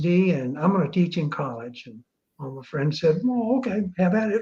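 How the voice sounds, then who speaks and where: At a fairly quick pace, a man talks in a high voice. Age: 70s. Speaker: retired business school dean, blogger. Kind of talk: interview on live online show. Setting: live online video show.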